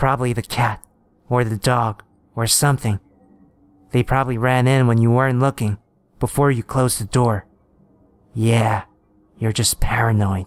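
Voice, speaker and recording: In a dry, close sound with no echo, a man with a medium pitch speaks in a sinister tone at a moderate pace, with monotone, flat intonation, very even loudness and long, frequent pauses. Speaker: horror story narrator. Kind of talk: second-person creepypasta ghost story narration, building dread. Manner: taunting, sinister asides to the listener.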